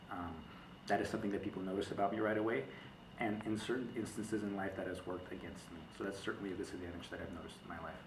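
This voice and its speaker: Noticeable background noise and audible room echo around very fast speech. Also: man, fairly low pitch for a man, fairly even intonation. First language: not English. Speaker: college student. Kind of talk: class project testimony.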